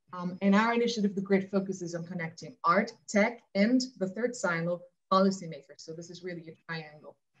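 A woman's somewhat breathy, medium-pitched voice at a fairly quick pace, with big swings in loudness. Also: ordinary pitch variation. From Austria. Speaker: cultural program director; conference panelist. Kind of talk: conference presentation; panel discussion answer. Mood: friendly, smiling. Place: home room. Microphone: webcam.

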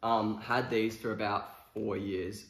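Very slow, monotone, flat speech from a man at fairly low pitch, with audible room echo. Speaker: fashion vlogger. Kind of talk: casual talk to camera. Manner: casual, hesitant with many fillers. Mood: relaxed, easygoing. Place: home room. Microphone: camera far.

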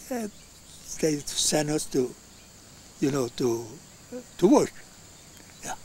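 In an Italian accent, a man speaks with a fairly high pitch and lively intonation. His pace is very slow, with long, frequent pauses and a dry sound with no echo. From Italy. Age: 80s+. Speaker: elderly immigrant interviewed by his grandson. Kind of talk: interview answer. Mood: warm, reminiscing. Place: garden.

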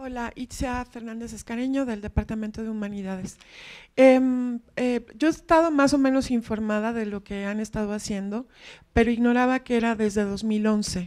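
A woman with an unremarkable speaking voice talks at a fairly high pitch and a moderate pace. Her intonation is fairly even, over a quiet background. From Mexico City. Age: 40s. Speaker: academic, audience member; audience member. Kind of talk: audience question. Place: hall.

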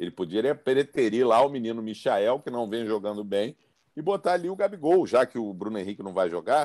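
A man with a dark, mellow tone speaks at a fairly quick pace. His pitch swings very widely against a quiet background. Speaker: panelist. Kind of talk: commentary. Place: home room. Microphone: video call.

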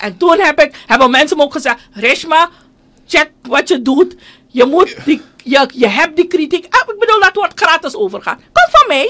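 A woman's raised, projected voice at an extremely high pitch, bright and sharp in tone, with very wide pitch swings, a moderate pace and a quiet background. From Suriname. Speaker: politician and union leader; politician. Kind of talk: radio interview. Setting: studio.

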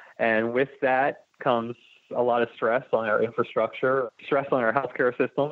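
A man with an American accent and an ordinary speaking voice talks at medium pitch and a fairly quick pace. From Delaware, US. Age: 30s. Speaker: political candidate, construction worker. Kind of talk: interview.

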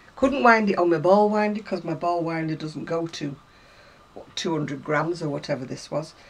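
A woman with a British accent talks at a moderate pace and a fairly low pitch, her intonation lively and her loudness swinging widely. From UK. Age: 70s. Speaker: crafter. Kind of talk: casual chat. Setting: home. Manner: chatty. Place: home room. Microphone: camera far.

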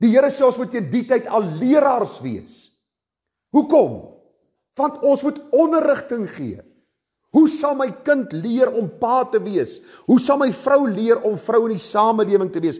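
Over a quiet background, a man speaks in an extremely high voice with lively intonation. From South Africa. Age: 50s. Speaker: pastor. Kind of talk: sermon. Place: church.

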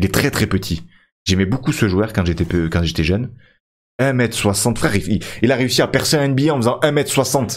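The voice moves at a fairly slow pace, its loudness very even. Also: man, lively intonation. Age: 30s. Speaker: gaming YouTuber; gaming streamer. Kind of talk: gameplay commentary. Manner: hesitant, many fillers. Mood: reflective, nostalgic about players.

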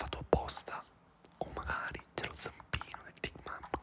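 The speaker, a man, whispers. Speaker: ASMR gamer. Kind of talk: relaxing whispered let's play commentary. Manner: whispered, soft-spoken.

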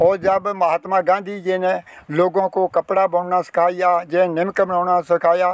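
In a Punjabi accent, a man talks at a very slow pace and a high pitch, with a dry sound with no echo and a quiet background. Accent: Punjabi-accented Hindi. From Punjab, Kapurthala district. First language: Punjabi (speaking Hindi). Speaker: partition-era elder, former mill worker. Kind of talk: interview; interview answer. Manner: halting. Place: open country. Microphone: phone near.

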